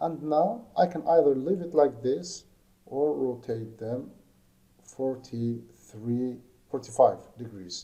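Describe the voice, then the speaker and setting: A man with a non-native accent speaks at a very slow pace and medium pitch, in a dark, mellow tone, with lively intonation and big swings in loudness. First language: not English. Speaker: lighting design instructor. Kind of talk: tutorial. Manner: halting.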